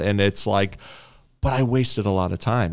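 A man talks with a plain, everyday voice and ordinary pitch variation. The recording is very clean, with a silent background. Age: 30s. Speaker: podcast co-host, streamer and programmer. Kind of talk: casual chat. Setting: home recording room.

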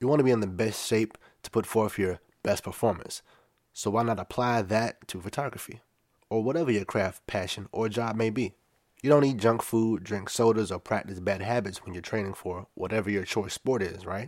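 On a very clean recording with a silent background, a plain, everyday voice goes fairly quickly, its pitch varying in an ordinary way. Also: man, fairly low pitch for a man. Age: 30s. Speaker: podcast host and photographer. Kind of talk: solo podcast monologue.

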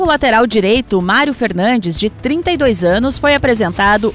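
With an unremarkable speaking voice, a woman talks in a fairly high pitch and lively intonation. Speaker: radio journalist news presenter. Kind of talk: news reading. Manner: formal, steady, brisk newsreader delivery.

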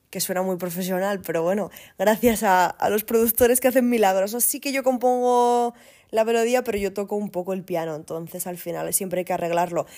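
Recorded very cleanly against a silent background, a woman speaks fairly quickly at a medium pitch with a dark, mellow tone. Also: ordinary pitch variation. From Asturias, Spain. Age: 30s. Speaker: singer-songwriter and recruiter. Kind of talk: casual interview.

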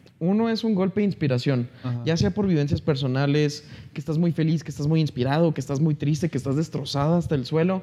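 A man talks at a very fast pace with hardly any pauses, in a dark, mellow tone that is somewhat breathy. His pitch is fairly high, with ordinary pitch variation. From northern Mexico, Chihuahua. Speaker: musician. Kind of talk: casual chat.

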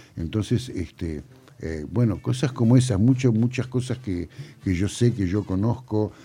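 Somewhat breathy and dark, mellow in tone, a man at medium pitch speaks at a fairly slow pace with ordinary pitch variation. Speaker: sound engineer and record producer. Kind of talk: interview. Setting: studio. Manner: halting.

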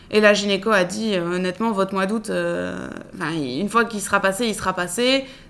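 A woman at a moderate pace and medium pitch, with ordinary pitch variation. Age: 20s. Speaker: woman going through IVF. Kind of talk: personal testimony. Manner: hesitant, many fillers.

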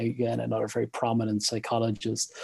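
Man with an Irish accent, medium pitch, moderate pace. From Ireland. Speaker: psychology professor. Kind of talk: interview. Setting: video call.

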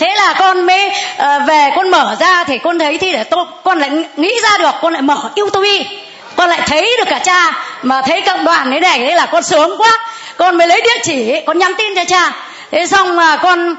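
Over noticeable background noise and audible room echo, a woman with an extremely high pitch talks at a moderate pace with ordinary pitch variation. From northern Vietnam (Hanoi area). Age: 60s. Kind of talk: testimony.

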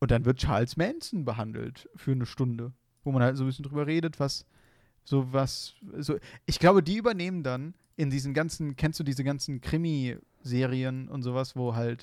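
Medium in pitch, the man moves at a moderate pace. The background is silent and the recording very clean. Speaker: podcast co-host. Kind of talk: casual chat. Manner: monotone.

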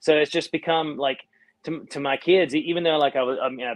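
The pace here is moderate. It is a man talking in a Southern US accent. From North Carolina, US South. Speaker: band singer and guitarist. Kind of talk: casual interview chat. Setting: online live stream.

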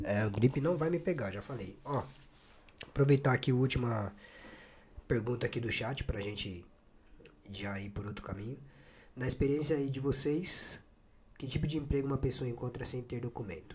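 A somewhat breathy man at a medium pitch, with ordinary pitch variation, a moderate pace, and long, frequent pauses. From Brazil, São Paulo. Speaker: podcast host. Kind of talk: casual interview. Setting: studio. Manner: animated.

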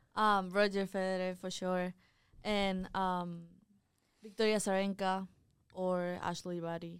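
With a non-native accent, a woman speaks in a medium, monotone, flat voice at a fairly slow pace with long, frequent pauses. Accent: foreign-accented English. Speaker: college tennis player. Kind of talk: casual interview.

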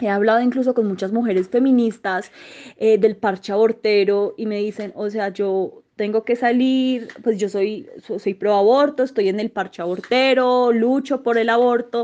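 Her fairly high-pitched voice has a dark, mellow tone, and this woman keeps her intonation fairly even. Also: fairly slow pace. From Colombia, Manizales. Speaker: sociologist and journalist. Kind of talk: interview. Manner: halting, many fillers.

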